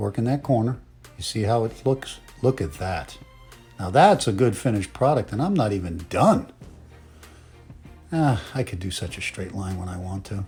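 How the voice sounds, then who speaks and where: Over music in the background, the voice has lively intonation and a playful tone, moving at a moderate pace with long, frequent pauses. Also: man, fairly low pitch for a man. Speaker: comedic voiceover. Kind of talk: parody makeup tutorial voiceover. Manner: playful, joking.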